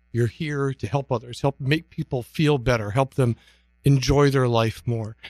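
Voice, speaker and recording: A man with an American accent speaks at a medium pitch and a moderate pace, with ordinary pitch variation, in a dry, close recording with no echo and music in the background. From northern Michigan. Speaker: fitness professional. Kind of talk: interview. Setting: radio studio.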